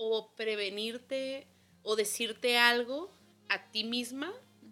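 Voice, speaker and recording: A woman with a bright, sharp tone speaks at a very slow pace, her pitch varying in an ordinary way. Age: 30s. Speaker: podcast co-host. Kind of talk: casual chat.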